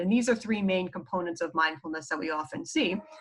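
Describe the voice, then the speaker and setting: A woman speaks in a New York accent at medium pitch. Her intonation is lively. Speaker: psychologist teaching mindfulness. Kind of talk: lecture. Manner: casual, filler-heavy.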